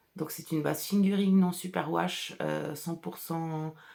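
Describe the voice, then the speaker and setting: A woman with a fairly low pitch. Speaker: artisan wool dyer and podcaster. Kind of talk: casual solo podcast chat. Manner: chatty, hesitant with fillers.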